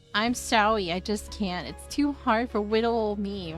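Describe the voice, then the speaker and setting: Over clear background music, a female-sounding voice does a put-on character voice at a medium pitch. It is shrill and moves at a moderate pace. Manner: fake-sweet, girly, whiny.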